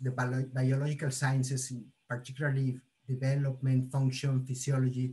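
The man's voice comes out somewhat breathy as he talks. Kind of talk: lecture. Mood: cheerful, friendly. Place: kitchen. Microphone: video call.

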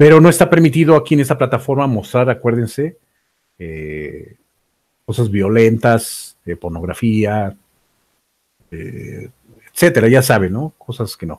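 A man's slightly mellow voice at a fairly slow pace, with lively intonation. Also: medium pitch for a man.

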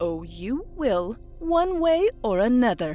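A put-on character voice at a fairly high pitch swings very widely at a fairly slow pace, with hissing and clear music in the background. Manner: menacing, hissing.

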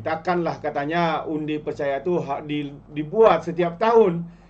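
Fairly slow delivery from a man with a fairly high pitch and ordinary pitch variation. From Malaysia. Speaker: political commentator. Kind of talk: opinionated news commentary. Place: home room.

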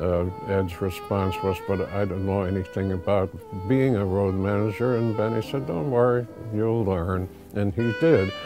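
A man's fairly low voice, dry and free of echo, over clear background music. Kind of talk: interview answer. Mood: warm, reminiscing. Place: office. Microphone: lapel.

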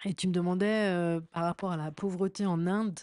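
Fairly slow, fairly even speech from a woman with a dark, mellow tone, a dry, close sound with no echo and a quiet background. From France, Paris. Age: 40s. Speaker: DJ and communications manager. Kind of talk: interview storytelling.

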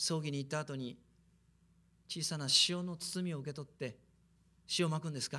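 Speaking at a fairly quick pace, a man with a fairly high pitch leaves long, frequent pauses. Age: 50s. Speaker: preacher. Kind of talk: sermon. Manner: animated. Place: hall. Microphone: podium.

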